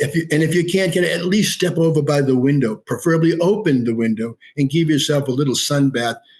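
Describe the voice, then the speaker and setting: At a very fast pace, a man with a fairly high pitch sounds somewhat breathy, with ordinary pitch variation and very even loudness. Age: 70s. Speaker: lighting technology entrepreneur. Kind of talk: interview. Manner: animated.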